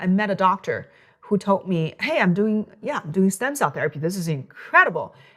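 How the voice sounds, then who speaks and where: A woman speaks with a Chinese accent at medium pitch. Her pace is fairly quick. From China. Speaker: physician. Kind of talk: interview. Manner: halting.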